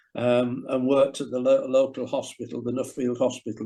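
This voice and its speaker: Over a quiet background, a man speaks in a medium pitch with a dark, mellow tone. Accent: Yorkshire. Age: 70s. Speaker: former professional cricketer. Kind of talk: interview. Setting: video call.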